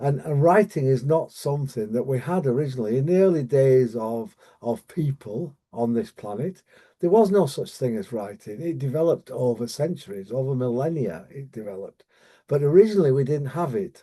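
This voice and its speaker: Here a man with a British accent speaks at a fairly quick pace against a quiet background. His medium-pitched voice has a dark, mellow tone and lively intonation. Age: 70s. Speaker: dyslexia coach. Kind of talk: online training presentation. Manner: halting, many fillers and repetitions.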